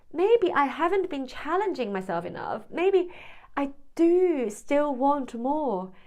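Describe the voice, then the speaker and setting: A woman's high voice at a very slow pace, with very wide pitch swings and noticeable background noise. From Hong Kong, then UK from 17. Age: 40s. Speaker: vlogger, former freelance translator. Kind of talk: personal vlog monologue. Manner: hesitant, with repeated words.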